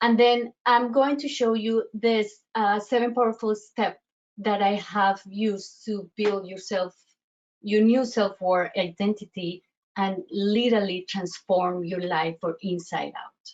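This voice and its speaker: At a fairly slow pace, a woman with a Colombian accent speaks in a medium pitch with ordinary pitch variation. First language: Spanish. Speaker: self-worth coach. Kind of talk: online workshop presentation. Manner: halting, many fillers and restarts.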